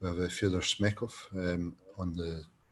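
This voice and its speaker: A man speaks with a Scottish accent. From Scotland. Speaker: design lecturer. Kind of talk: online course presentation. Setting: online presentation. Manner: hesitant, many fillers.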